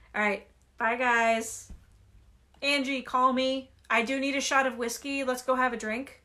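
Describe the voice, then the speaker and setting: On a very clean recording with a silent background, a woman projects a raised voice at a high pitch with a bright, sharp tone. Her intonation is monotone and flat, and her pace is fairly slow. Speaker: livestreamer reading a book aloud. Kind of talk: reading aloud. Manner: casual.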